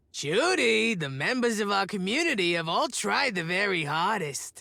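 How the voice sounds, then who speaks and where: Putting on a character voice, a man speaks at a high pitch with very wide pitch swings. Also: moderate pace. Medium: video game. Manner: curt, sardonic.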